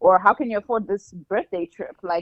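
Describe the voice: Moderate pace, fairly bright tone and ordinary pitch variation, in a dry, close sound with no echo. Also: woman.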